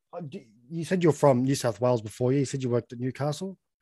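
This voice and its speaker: With an Australian accent, a man talks very fast in a dark, mellow tone with lively intonation, the sound dry and close with no echo. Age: 20s. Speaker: podcast host. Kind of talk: casual interview chat.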